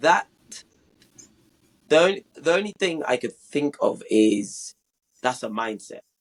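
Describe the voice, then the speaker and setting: In a dry, close sound with no echo, a man with a British accent speaks fairly slowly at a fairly high pitch, with very wide pitch swings and long, frequent pauses. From London, England. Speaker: podcast guest. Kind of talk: casual interview.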